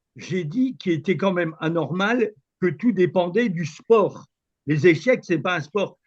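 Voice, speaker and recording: A man with a high voice talks fairly slowly, his pitch varying in an ordinary way. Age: 70s. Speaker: chess club instructor, participant. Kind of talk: video conference discussion. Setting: video call. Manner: hesitant, stammering.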